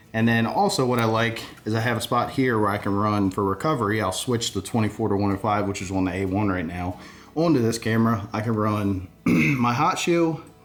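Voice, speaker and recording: A man talks at a fairly quick clip in an unremarkable speaking voice, his fairly low pitch rising and falling in an ordinary way. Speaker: hunting videographer. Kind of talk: gear tutorial.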